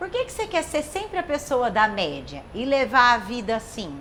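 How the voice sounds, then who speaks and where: A woman is talking. Her pitch rises and falls very widely. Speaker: talk show host. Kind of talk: casual talk show chat. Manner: fast; animated.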